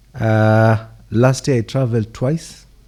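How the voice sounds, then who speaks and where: Somewhat breathy and dark, mellow in tone, a man speaks with ordinary pitch variation in a very clean recording with a silent background. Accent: East African. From Kenyan coast. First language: Swahili. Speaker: government official. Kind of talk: farewell dinner speech. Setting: dinner event. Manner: hesitant with fillers.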